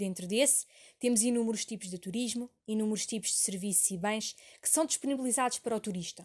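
On a very clean recording with a silent background, a woman talks very fast in a fairly high, somewhat breathy voice. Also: ordinary pitch variation. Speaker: university student. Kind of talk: scripted narration. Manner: formal.

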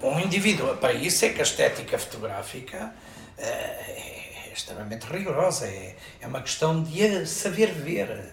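Through noticeable background noise and audible room echo, a man speaks at a fairly slow pace. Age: 70s. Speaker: photographer and arts festival director. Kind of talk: interview. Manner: halting.

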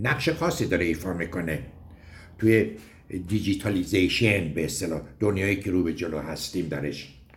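Somewhat breathy, a man speaks with very deep, low pitch and ordinary pitch variation amid audible room echo. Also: moderate pace. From Iran, Gorgan. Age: 70s. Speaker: mountaineering club veteran, former magazine editor. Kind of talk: recorded personal reminiscence.

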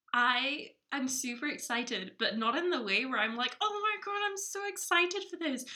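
A woman speaks in a raised, projected voice. Her pitch is high and swings very widely. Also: moderate pace, hardly any pauses. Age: 20s. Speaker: podcast co-host. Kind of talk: casual chat.

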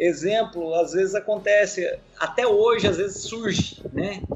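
Over music in the background, a man with a high-pitched voice talks at a moderate pace. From Ubatuba, São Paulo coast, Brazil. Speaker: biologist, wildlife rescue. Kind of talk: casual interview.

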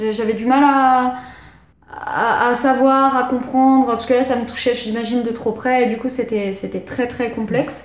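Over noticeable background noise and audible room echo, a woman speaks fairly slowly in a high pitch with monotone, flat intonation. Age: 20s. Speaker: tattoo artist. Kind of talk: casual chat. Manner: halting.

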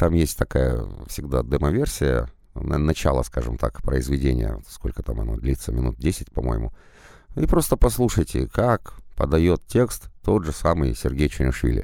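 A man speaks at a very deep, low pitch with ordinary pitch variation. His dark, mellow tone carries vocal fry. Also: fairly slow pace. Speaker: audiobook narrator. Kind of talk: monologue advice.

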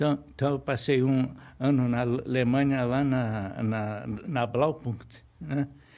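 A man speaks at a very slow pace and medium pitch with ordinary pitch variation. His tone is dark and mellow. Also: very even loudness, very clean recording, silent background. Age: 70s. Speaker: retired electronics engineer. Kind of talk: interview. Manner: halting, with frequent repetitions.

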